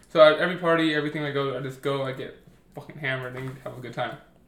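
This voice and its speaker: A man rattles along at a very fast pace with a fairly high pitch and fairly even intonation, with audible room echo and noticeable background noise. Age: 20s. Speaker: podcast co-host. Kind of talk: casual chat.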